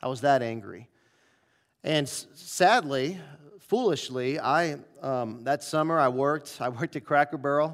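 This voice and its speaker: A plain, everyday voice, this man speaks at a medium pitch with an American accent and ordinary pitch variation, on a very clean recording with a silent background. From US Midwest, St. Louis. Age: 40s. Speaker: pastor. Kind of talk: sermon. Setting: church.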